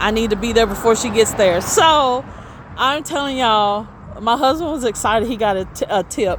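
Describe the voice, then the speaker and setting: Over noticeable background noise, a woman with a Southern US accent talks at a fairly quick pace with lively intonation. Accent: country accent, Southern US. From Tennessee, US South. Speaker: street vendor, craft seller vlogger. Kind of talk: casual vlog. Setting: outdoors at street stall. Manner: animated.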